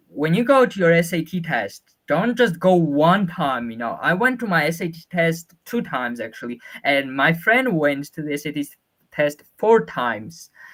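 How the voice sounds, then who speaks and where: A man's high-pitched voice with very wide pitch swings at a moderate pace. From Georgia (country). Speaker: student sharing test experience. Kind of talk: webinar Q&A. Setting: online webinar. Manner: halting, many fillers and restarts.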